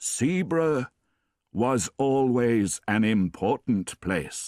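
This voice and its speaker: Doing a put-on character voice at a medium pitch, a man speaks very slowly with lively intonation, in a very clean recording with a silent background and a dry, close sound with no echo. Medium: read story. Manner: solemn, mysterious.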